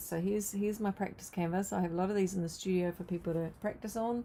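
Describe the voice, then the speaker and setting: A woman with a New Zealand accent speaks at a medium pitch in a dark, mellow tone with fairly even intonation. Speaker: art teacher. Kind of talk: live painting tutorial. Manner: casual, hesitant with fillers.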